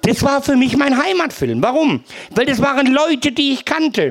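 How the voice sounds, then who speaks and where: There is noticeable background noise behind this man's voice. His pitch is extremely high, with ordinary pitch variation. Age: old. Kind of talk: testimony. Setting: live event with audience.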